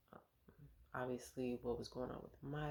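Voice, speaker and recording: A soft-spoken woman. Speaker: vlogger sharing birth experiences. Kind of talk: casual personal vlog.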